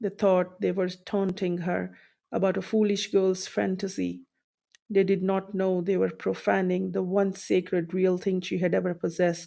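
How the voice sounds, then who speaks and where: Over a silent background in a very clean recording, a woman with a non-native accent speaks at a moderate pace and medium pitch, her tone dark and mellow and her intonation flat and monotone. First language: not English. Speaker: audiobook narrator. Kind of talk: reading aloud.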